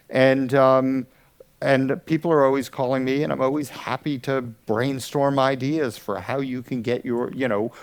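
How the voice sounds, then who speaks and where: A man at a moderate pace with an American accent, medium pitch, and a normal speaking voice. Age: 60s. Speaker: audio educator. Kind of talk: conference talk. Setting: stage with audience.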